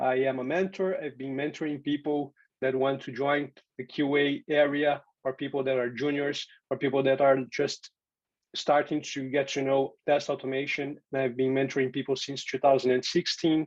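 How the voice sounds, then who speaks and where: With a Portuguese accent, a man speaks at a moderate pace in a fairly high pitch and a monotone, flat intonation. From Brazil. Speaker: software testing speaker and teacher. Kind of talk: conference tech talk.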